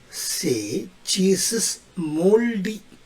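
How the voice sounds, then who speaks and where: A man talks at a very slow pace in a high pitch. Noticeable background noise sits behind him. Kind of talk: short comedic English tips to camera.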